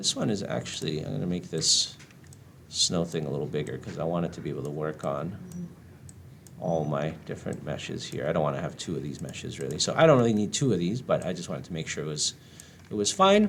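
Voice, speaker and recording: With a very deep, low pitch and vocal fry, a man speaks at a very fast pace with ordinary pitch variation. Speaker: game art instructor. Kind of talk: tutorial. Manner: casual with many fillers.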